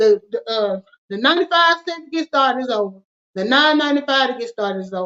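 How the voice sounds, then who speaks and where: In a Southern US accent, a woman with a high pitch talks at a very fast pace, her intonation lively. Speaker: finance show host. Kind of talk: casual chat. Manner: casual, informal.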